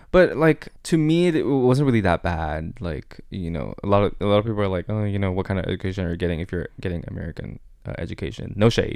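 A man with a Chinese accent talks at a very fast pace with hardly any pauses, his fairly low voice full of lively intonation. The recording is very clean, with a silent background. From Taiwan, with childhood years in Bangkok, Thailand. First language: Mandarin Chinese. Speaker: interview guest. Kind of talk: casual chat. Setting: studio.

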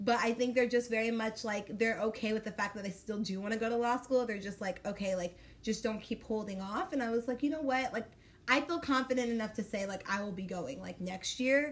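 A woman with a fairly high pitch speaks at a fairly quick pace, showing ordinary pitch variation over noticeable background noise. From Dallas, Texas. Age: 20s. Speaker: podcast co-host. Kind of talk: casual chat.

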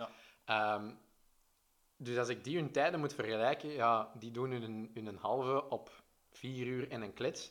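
In an ordinary speaking voice, a man talks at a fairly slow pace with medium pitch and fairly even intonation. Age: 20s. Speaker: triathlete and press officer. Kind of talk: casual chat. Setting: in person, arrived running.

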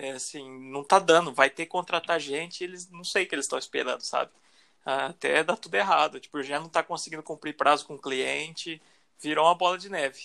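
A man with a Brazilian accent talks fairly quickly in a fairly high, bright, sharp voice with vocal fry and ordinary pitch variation. The recording is very clean and dry, close-sounding, with a silent background and no echo. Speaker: podcast co-host. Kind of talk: casual chat.

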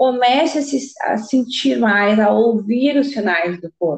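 Somewhat breathy, a woman's fairly high voice carries lively intonation. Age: 30s. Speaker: podcast host. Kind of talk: casual interview chat.

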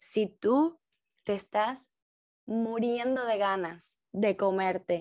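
Against a quiet background, a woman with a Cuban accent speaks at a very slow pace. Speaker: podcast host, dancer and dance teacher. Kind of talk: personal reflection monologue.

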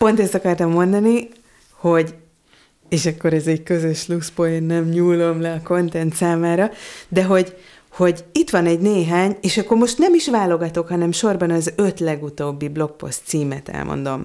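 Her tone dark and mellow, a woman speaks at a fairly low pitch and a moderate pace. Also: ordinary pitch variation. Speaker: content designer. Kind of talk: casual chat.

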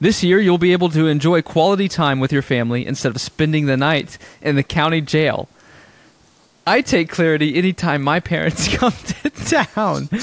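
Speaking at a moderate pace, a man has a normal speaking voice with a fairly high pitch and ordinary pitch variation, on a very clean recording with a silent background. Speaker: podcast host. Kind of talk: casual chat.

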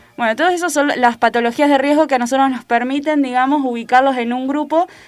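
The speaker is a woman with a high pitch. She talks at a very fast pace. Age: 20s. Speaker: primary health care worker. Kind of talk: radio interview. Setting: radio studio. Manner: halting, many fillers.

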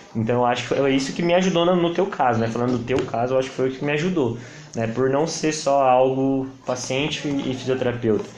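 Fairly quick in pace, a man speaks at medium pitch with ordinary variation, amid audible room echo and noticeable background noise. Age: 20s. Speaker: physiotherapist. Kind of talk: casual chat.

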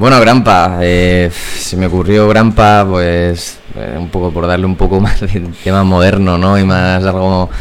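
Amid noticeable background noise and audible room echo, a man with a very deep, low pitch speaks at a fairly slow pace with fairly even intonation and hardly any pauses. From Puertollano, Ciudad Real, Spain. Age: 20s. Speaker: startup founder. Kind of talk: interview. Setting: studio.

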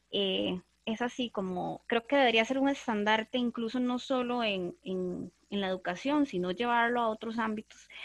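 In a plain, everyday voice, a woman speaks at a moderate pace and a fairly high pitch with ordinary pitch variation, the sound dry and close with no echo. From Costa Rica, Desamparados. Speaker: literature teacher, podcast co-host. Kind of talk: casual panel discussion.

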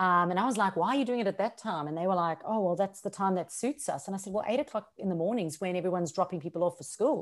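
Very fast and at a medium pitch with ordinary pitch variation, a woman talks in a very clean recording with a silent background. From South Africa. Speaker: social media strategist and business coach. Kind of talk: podcast interview.

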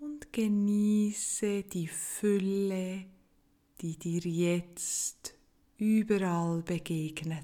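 In a gentle, calm tone, a woman talks at a very slow pace with a medium pitch and ordinary pitch variation. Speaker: meditation guide. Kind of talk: guided meditation. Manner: slow, calm, soothing; gentle, with long pauses.

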